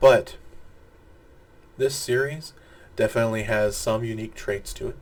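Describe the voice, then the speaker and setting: Fairly low-pitched male voice with fairly even intonation. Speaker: pop culture video reviewer. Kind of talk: casual video review monologue. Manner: halting, stumbles over words.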